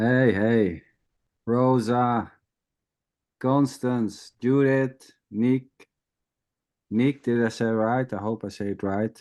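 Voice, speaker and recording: Speaking very slowly with long, frequent pauses, a man with a Dutch accent uses a medium pitch and fairly even intonation over a quiet background. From Netherlands. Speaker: spiritual teacher. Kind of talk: informal spiritual talk. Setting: video call.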